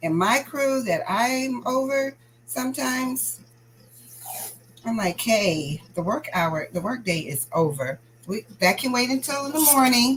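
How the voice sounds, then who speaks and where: A loud woman speaks at a fairly slow pace in an animated tone, her fairly high pitch making very wide swings. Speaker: crafting channel host and school staff. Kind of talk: casual chat.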